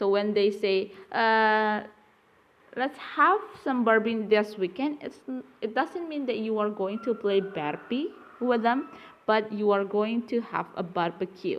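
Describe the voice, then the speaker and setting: A woman speaks with an Indonesian accent and a fairly high pitch. Her pace is fairly slow, and her pitch varies in an ordinary way. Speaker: university lecturer. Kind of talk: lecture. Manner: halting.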